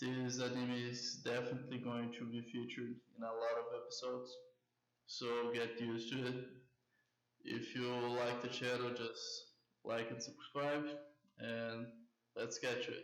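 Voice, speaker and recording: A man's medium-pitched voice in a Brazilian Portuguese accent, monotone and flat, broken by long, frequent pauses amid audible room echo. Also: moderate pace. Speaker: anime commentary YouTuber. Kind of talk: casual commentary monologue. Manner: halting, with self-corrections.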